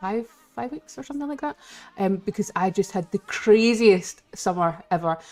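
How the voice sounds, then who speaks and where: In a Scottish accent, a woman speaks with lively intonation. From Scotland. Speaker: live streamer. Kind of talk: casual chat. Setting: live stream.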